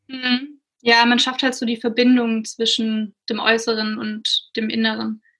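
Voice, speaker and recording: Speaking at a fairly slow pace, a woman uses a fairly high pitch with a bright, sharp tone and monotone, flat intonation. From Swabia, near Stuttgart, Germany. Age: 20s. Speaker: blogger and writer. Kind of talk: casual interview conversation.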